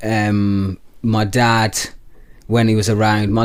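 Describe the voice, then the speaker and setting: With a West Midlands accent, a man speaks in a fairly low voice with flat, monotone intonation. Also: very clean recording, silent background. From West Midlands, England (Telford, Shropshire). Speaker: rapper. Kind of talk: casual interview chat.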